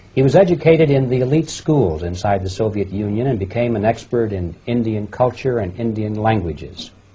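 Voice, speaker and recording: A man's somewhat breathy, fairly low voice, dark and mellow in tone, at a moderate pace with lively intonation. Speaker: interviewer. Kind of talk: interview introduction.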